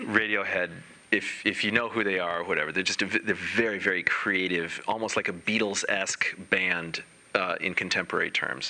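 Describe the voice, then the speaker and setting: A man with fairly low pitch and an unremarkable speaking voice, fairly even intonation and a fairly quick pace. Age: 40s. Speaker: Zen dharma teacher. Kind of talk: dharma talk.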